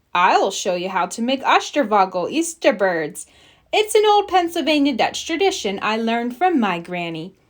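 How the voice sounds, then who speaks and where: A woman speaks in a put-on character voice, pitched high. Her pitch swings very widely. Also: moderate pace. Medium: read story. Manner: calm, reassuring.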